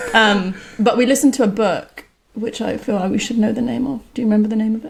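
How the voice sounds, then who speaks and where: A woman talks very fast in a fairly high, somewhat breathy voice. Her intonation stays fairly even. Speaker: software engineer and book co-author. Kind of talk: casual chat.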